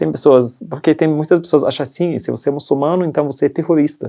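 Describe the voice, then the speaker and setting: A man's dark, mellow voice with a non-native accent. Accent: foreign accent in Portuguese. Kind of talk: testimony interview in church. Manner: halting, non-native phrasing.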